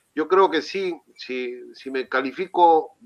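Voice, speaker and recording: The background is quiet as a man speaks in a fairly high pitch with a bright, sharp tone. His pitch variation is ordinary. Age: 60s. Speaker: city councillor. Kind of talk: interview. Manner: halting, many fillers. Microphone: connection problems.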